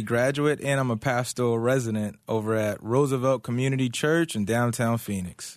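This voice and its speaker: A man with an American accent talks at a fairly quick pace, in a medium pitch with ordinary pitch variation. He has a plain, everyday voice, and the background is quiet. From Philadelphia, US. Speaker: pastoral resident. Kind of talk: casual chat. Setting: studio.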